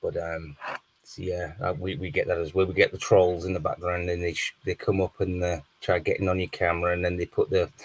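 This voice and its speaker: A man with a northern English accent at a fairly quick pace, the sound dry and close with no echo. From northern England. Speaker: live stream guest, fellow streamer. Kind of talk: casual chat.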